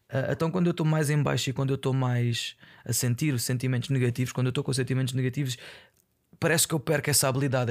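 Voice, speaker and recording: A man at medium pitch speaks at a very fast pace with monotone, flat intonation. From Portugal, Aveiro. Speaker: podcaster. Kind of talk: casual monologue. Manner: halting.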